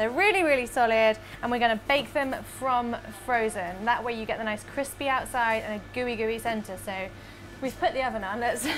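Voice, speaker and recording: A woman at a fairly quick pace, ordinary pitch variation, faint music in the background. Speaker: presenter. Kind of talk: tutorial. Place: kitchen.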